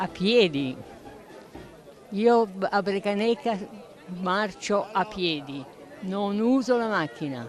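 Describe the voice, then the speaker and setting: Speech comes at a very slow pace with long, frequent pauses and very wide pitch swings. Crowd noise runs in the background. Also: woman, medium pitch for a woman. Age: 80s+. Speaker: festival attendee. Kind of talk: interview.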